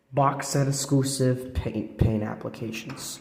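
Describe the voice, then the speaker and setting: Audible room echo surrounds a man whose dark, mellow tone is somewhat breathy and carries a fairly even intonation. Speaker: toy reviewer. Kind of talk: casual product review. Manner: casual, with fillers.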